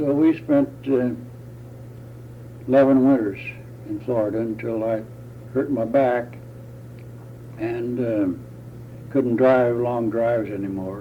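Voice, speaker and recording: With an American accent, a man speaks at a fairly slow pace and a medium pitch, with fairly even intonation. He leaves long, frequent pauses, and there is audible room echo. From US Midwest (Indiana). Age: 80s+. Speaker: retiree interviewee. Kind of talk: oral history interview. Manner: halting.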